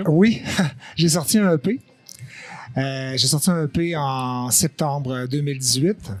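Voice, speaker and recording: This man talks at a very slow pace, with long, frequent pauses. His pitch is fairly high, and he has a Quebec accent. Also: ordinary pitch variation. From Quebec, Lac-Saint-Jean. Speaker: singer. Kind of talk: podcast interview answer.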